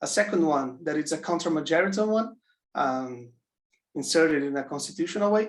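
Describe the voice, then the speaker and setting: Speaking with a non-native accent, a man talks at a fairly quick pace in a fairly high pitch with lively intonation. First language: not English. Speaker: audience member asking question. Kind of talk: academic Q&A. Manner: halting, many fillers.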